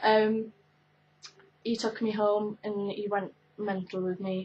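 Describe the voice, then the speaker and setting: A woman with a Welsh accent speaks at a medium pitch with monotone, flat intonation. Her voice is somewhat breathy. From Wales, Carmarthen. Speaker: YouTuber. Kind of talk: casual chat. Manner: hesitant, many fillers.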